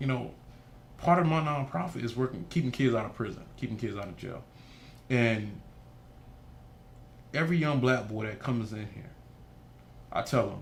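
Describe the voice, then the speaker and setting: A man at medium pitch sounds somewhat breathy, with big swings in loudness. He leaves long, frequent pauses, and the room echo is audible. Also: ordinary pitch variation, moderate pace. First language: Haitian Creole. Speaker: nonprofit founder. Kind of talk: interview. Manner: animated.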